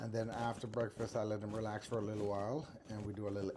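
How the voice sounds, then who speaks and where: This man has a plain, everyday voice, fairly low in pitch with ordinary pitch variation. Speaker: caregiver. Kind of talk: casual talk to camera.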